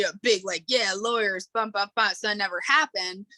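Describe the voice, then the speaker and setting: A woman's medium-pitched voice with a New York accent, bright and sharp in tone, fairly even in intonation, in a dry, close sound with no echo. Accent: New York American. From New York State, outside New York City. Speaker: podcast guest. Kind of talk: casual interview chat. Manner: casual, filler-heavy.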